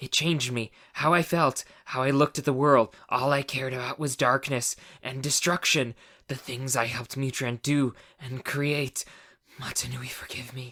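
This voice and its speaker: A man talks at a moderate pace and a medium pitch. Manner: very fast, words tumbling over each other.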